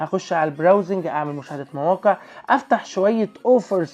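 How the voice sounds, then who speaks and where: The speaker has an Egyptian accent and talks at a fairly quick pace. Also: man. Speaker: YouTuber. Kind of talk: casual vlog review. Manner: animated.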